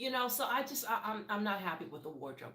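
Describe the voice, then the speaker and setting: In a room with audible echo and noticeable background noise, a woman talks in an animated tone with very wide pitch swings. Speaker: TV reality show commentator. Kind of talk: casual commentary recap. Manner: fast.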